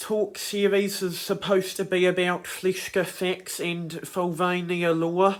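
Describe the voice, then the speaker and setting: Speaking very slowly, a man with a high pitch talks in a New Zealand accent. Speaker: YouTuber, creator of animated characters. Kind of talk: casual talk to camera. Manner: hesitant, many fillers.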